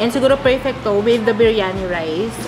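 Noticeable background noise is present throughout. The talking goes by at a fairly quick pace. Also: woman. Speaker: food reviewer. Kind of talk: casual food review vlog. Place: cafe.

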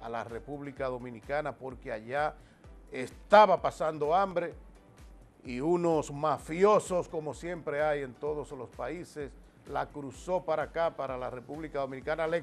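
A man at a fairly high pitch and fairly slow pace, with big swings in loudness and faint music in the background. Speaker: TV host and announcer. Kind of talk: TV news commentary. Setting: TV studio. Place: studio. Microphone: lapel.

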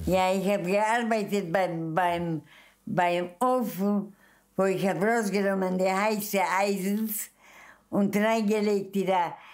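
Very slowly and with very even loudness, a woman speaks with fairly even intonation against a quiet background. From Mukachevo, western Ukraine (then Czechoslovakia). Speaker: Holocaust survivor. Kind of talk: interview answer. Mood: earnest, animated, emotional memories. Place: home room.

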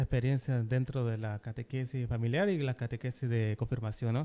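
Dark and mellow, the voice moves at a moderate pace. Its intonation stays fairly even. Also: man. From Bolivia. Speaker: podcast host. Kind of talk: interview. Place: studio. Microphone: studio mic.

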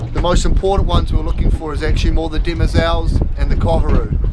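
Very rapid male speech amid loud background noise. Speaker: presenter. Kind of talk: tutorial. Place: boat. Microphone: camera far.

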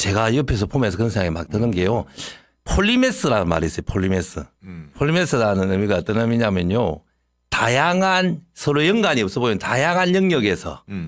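Against a quiet background, a man with a medium pitch talks fairly quickly with very wide pitch swings, the sound dry with no echo. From South Korea. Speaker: defeated election candidate, politician; election candidate, politician. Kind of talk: interview. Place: studio. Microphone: studio mic.

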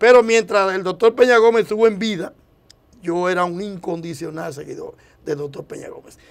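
A man's high-pitched voice at a fairly quick pace, with ordinary pitch variation and big swings in loudness. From Dominican Republic, Santo Domingo; Dominican Republic. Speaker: presidential hopeful politician. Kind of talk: TV interview. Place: studio. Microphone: lapel.

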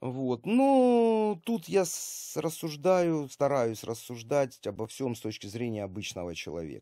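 The voice has a dark, mellow tone, moving through very wide pitch swings at a very slow pace over a quiet background. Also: man. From Ukraine (Kharkiv); Ukraine. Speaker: army volunteer medic and video blogger; video blogger. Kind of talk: video monologue to camera. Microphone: webcam.

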